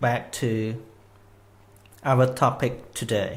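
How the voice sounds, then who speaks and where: A man speaks very slowly with a Khmer accent. His voice is somewhat breathy. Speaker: Buddhist Dhamma teacher. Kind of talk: live online Dhamma talk. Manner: non-native, slightly halting English.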